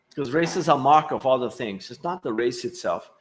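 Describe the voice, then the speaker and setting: A man's fairly quick speech with lively intonation. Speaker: epidemiology professor. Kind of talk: lecture. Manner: fast.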